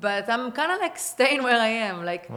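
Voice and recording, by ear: A woman speaks with an Israeli accent.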